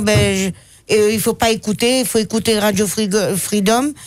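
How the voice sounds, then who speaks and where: A woman with a fairly high pitch talks at a very slow pace on a very clean recording with a silent background. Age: 60s. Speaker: guest. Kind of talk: radio interview. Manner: halting.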